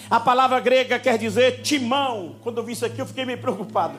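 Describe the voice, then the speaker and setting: Heard with audible room echo and noticeable background noise, a man is speaking. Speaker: pastor. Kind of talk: sermon. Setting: church. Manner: animated.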